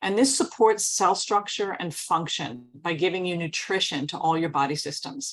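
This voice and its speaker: A woman's unremarkable speaking voice, fairly low in pitch, with ordinary pitch variation and a fairly quick pace. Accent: American. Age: 60s. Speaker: wellness product presenter. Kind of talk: sales presentation.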